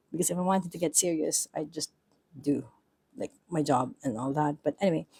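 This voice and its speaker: A woman speaks at a fairly quick pace in a very deep, low voice with a dark, mellow tone. Her pitch varies in an ordinary way, and the sound is dry and close with no echo. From Philippines. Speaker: book and journaling vlogger. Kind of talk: casual vlog chat. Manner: halting, rambling with self-corrections.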